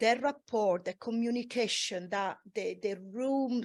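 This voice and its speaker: A woman with a non-native accent speaks fairly slowly with ordinary pitch variation, dry and close with no echo, on a very clean recording with a silent background. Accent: foreign. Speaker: massage therapist. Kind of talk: panel discussion.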